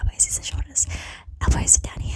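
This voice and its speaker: A woman's whisper with a gentle tone. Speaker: ASMR content creator. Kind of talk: ASMR whisper ramble to camera. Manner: gentle, whispering, chatty.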